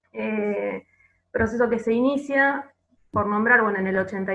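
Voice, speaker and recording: A woman with an Argentine accent. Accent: Argentine Spanish (Rioplatense). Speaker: archivist. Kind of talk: panel presentation. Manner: hesitant, many filler words.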